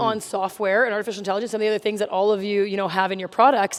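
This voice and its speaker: Over noticeable background noise, a woman talks very fast in a monotone, flat intonation at medium pitch. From Canada. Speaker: host and moderator. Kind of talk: panel moderation.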